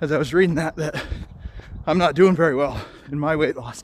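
A man speaks at a fairly quick pace with fairly even intonation, his dry, echo-free sound set against light background noise. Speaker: fitness vlogger. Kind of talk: casual vlog chat. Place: street. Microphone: phone near.

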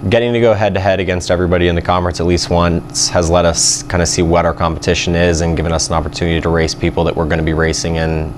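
A man with a very deep, low pitch talks at a very fast pace with fairly even intonation over light background noise. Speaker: swim coach. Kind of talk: interview answer.

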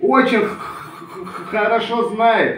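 With audible room echo, a man talks very slowly at an extremely high pitch, his pitch varying in an ordinary way. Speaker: Romani community video blogger. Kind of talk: video address to a rival. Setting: self-recorded video. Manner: heated, confrontational. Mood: aggrieved, indignant. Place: home room. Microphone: phone near.

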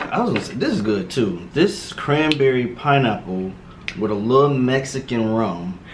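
At a moderate pace, someone speaks with an American accent and very wide pitch swings over noticeable background noise. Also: man. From Miami, Florida. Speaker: medical student; guest. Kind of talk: casual chat while eating.

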